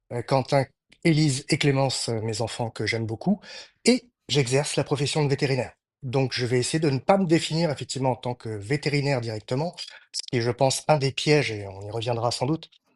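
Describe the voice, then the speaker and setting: The sound is dry and close with no echo, over a quiet background. A man speaks at a medium pitch with ordinary pitch variation. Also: fairly quick pace. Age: 50s. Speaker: veterinarian. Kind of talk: interview conversation. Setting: podcast recording. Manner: hesitant, many fillers.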